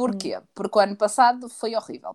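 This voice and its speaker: A woman speaks with a European Portuguese accent. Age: 20s. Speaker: podcast co-host. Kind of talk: casual chat.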